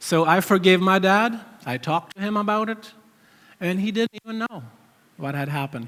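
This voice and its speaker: A man with a non-native accent speaks at a moderate pace and a high pitch. His intonation is lively, with long, frequent pauses. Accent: noticeable foreign accent in English. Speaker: church member sharing testimony. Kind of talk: testimony. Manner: halting.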